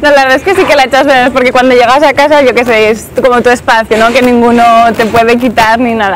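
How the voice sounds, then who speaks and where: Noticeable background noise accompanies a woman talking at a very fast pace. Her voice is high-pitched, with fairly even intonation and very even loudness. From Aragon, Spain (Zaragoza). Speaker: office worker and model living abroad. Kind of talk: street interview. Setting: outdoors in a city square.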